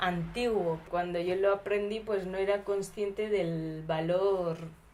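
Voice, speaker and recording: There is audible room echo around a voice with fairly even intonation. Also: woman. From India (Gujarat), raised in Basque Country from 13. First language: Gujarati (speaking Spanish). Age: 20s. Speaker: documentary subject. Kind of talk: casual interview. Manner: hesitant.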